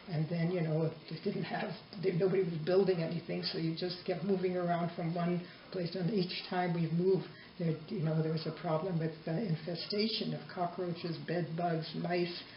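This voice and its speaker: Amid audible room echo and noticeable background noise, a woman speaks at a moderate pace with a fairly low pitch and monotone, flat intonation. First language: Yiddish. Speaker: interviewee, mother. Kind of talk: family oral history interview.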